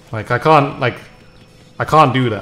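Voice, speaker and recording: Music plays in the background. A man speaks in a calm tone at a medium pitch. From Britain. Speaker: gaming streamer. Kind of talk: casual chat. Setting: live stream. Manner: calm, low-energy.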